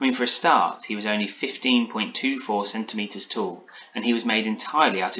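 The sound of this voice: Here is an unforced reading voice. It holds that way from start to finish.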